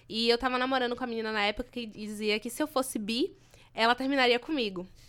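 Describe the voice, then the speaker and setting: Speaking at a very fast pace, a woman with a fairly high voice comes through on a very clean recording over a silent background. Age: 20s. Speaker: journalism student, activist. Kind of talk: casual chat.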